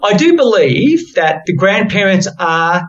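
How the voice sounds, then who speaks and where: A man talks with an Australian accent and lively intonation. His pace is very slow. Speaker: podcast host. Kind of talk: podcast conversation.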